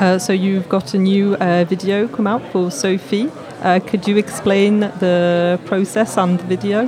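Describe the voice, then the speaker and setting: A woman at a medium pitch and a very slow pace, fairly even in intonation, with noticeable background noise. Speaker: interviewer. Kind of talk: radio interview in English. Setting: studio.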